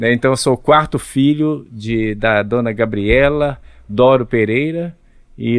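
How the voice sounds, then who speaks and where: In an ordinary speaking voice, a man talks at a fairly slow pace, with medium pitch and ordinary pitch variation. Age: 60s. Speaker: pastor and Bible narrator. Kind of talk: podcast interview.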